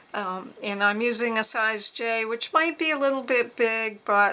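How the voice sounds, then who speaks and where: At a fairly slow pace comes an unremarkable speaking voice with ordinary pitch variation. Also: woman. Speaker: crochet instructor. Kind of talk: tutorial.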